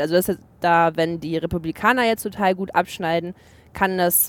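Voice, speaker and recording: A woman speaks in a normal speaking voice, fairly low in pitch and at a fairly slow pace. Her intonation is fairly even, and the recording is very clean with a silent background. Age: 20s. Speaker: TV journalist. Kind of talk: casual chat. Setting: in a car.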